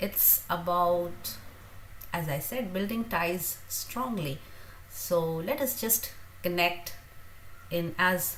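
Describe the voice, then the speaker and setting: Speech from a woman comes very slowly, broken by long, frequent pauses. There is audible room echo. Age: 50s. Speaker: teacher and youtuber. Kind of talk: livestream Q&A chat. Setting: livestream. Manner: halting with fillers.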